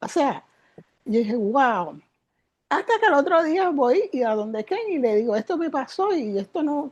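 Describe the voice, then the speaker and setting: A woman's high voice swings very widely in pitch as she talks at a fairly slow pace. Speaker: spiritual teacher. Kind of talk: interview. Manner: animated.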